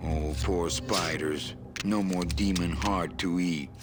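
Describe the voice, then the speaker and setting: A man's put-on character voice, very deep and low in pitch, at a fairly slow pace over loud background noise. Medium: video game. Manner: dry, sardonic.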